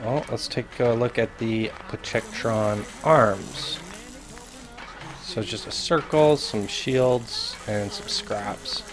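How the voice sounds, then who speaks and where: Over noticeable background noise, a man at a medium pitch speaks at a very slow pace. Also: ordinary pitch variation. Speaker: gaming youtuber. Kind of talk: gameplay commentary. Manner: casual.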